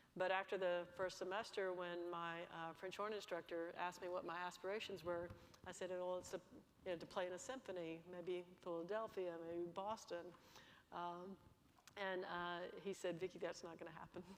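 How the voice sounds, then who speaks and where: A woman speaks in an Alabama accent at a moderate pace. Her fairly low voice stays monotone and flat. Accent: Alabama Southern US. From US South, Bessemer, Alabama. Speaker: energy company executive. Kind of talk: panel interview.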